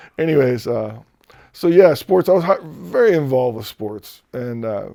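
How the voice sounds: A man's medium-pitched voice, dark and mellow in tone, with vocal fry, lively intonation and a moderate pace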